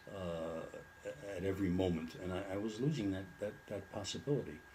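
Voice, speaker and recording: A man talks in a very deep, low pitch that is somewhat breathy. Audible room echo surrounds his voice. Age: 70s. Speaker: retired lawyer with Alzheimer's. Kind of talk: interview. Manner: halting, many fillers and repeats.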